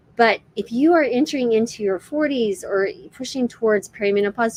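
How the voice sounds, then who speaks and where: A woman's fairly high, an ordinary speaking voice with lively intonation, moderate pace, and a dry, close sound with no echo. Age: 50s. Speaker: physician and health educator. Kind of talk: live-stream health talk. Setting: livestream. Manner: casual, many fillers.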